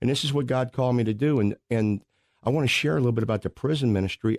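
The voice carries an American accent and ordinary pitch variation. The sound is dry and close with no echo, over a quiet background. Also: man. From Missouri, St. Louis area. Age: 60s. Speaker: prison minister, former baseball player. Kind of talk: testimony. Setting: radio studio. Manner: animated.

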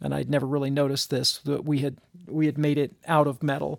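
The voice, with an American accent, comes on a very clean recording with a silent background. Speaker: podcast co-host. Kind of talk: casual chat.

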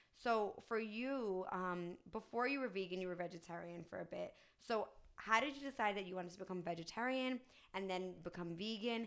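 A woman, an ordinary speaking voice, medium in pitch and moderate in pace. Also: ordinary pitch variation. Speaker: podcast host. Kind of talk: casual interview.

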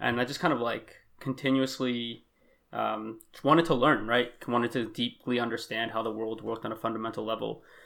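Against a silent background in a very clean recording, a man with a medium pitch, vocal fry and a bright, sharp tone talks at a fairly quick pace with fairly even intonation. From US (moved from Belgium around age six). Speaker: author and inventor. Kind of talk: casual interview.

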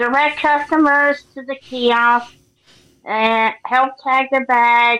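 Over a quiet background, a woman with an American accent projects a raised, high voice with a bright, sharp tone and flat, monotone intonation. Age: 30s. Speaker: airport service ambassador and athlete. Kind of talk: interview.

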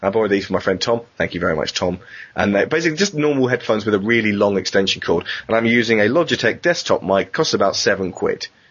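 Talking at a very fast pace, a man keeps a medium pitch and very even loudness. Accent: British. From Britain. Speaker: podcast host. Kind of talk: casual chat. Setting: online call.

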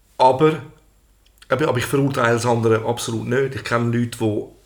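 The man's intonation stays fairly even while he talks very fast. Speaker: podcast co-host and entertainer. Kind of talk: casual chat.

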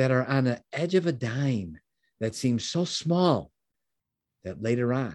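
Against a quiet background, a man with an American accent talks at a fairly slow pace and medium pitch, his tone dark and mellow and his intonation lively. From US Midwest. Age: 60s. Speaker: business mentor and founder.

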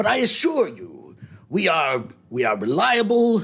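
A man performs in a put-on character voice. The voice is an act. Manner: smooth but slightly shifty; polite, formal, overly eager salesman.

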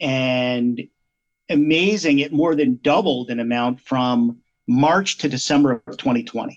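A man with an American accent has an ordinary speaking voice at medium pitch. He talks at a fairly slow pace with ordinary pitch variation. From Pennsylvania (Malvern area). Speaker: investment manager. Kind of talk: interview about finance.

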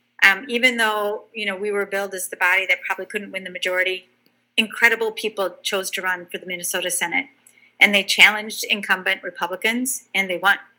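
Very fast speech in an Upper Midwest accent, bright and sharp in tone, with fairly even intonation and big swings in loudness. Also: woman, medium pitch for a woman. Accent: Upper Midwest American. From southern Wisconsin, Janesville. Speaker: state senator. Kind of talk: interview.

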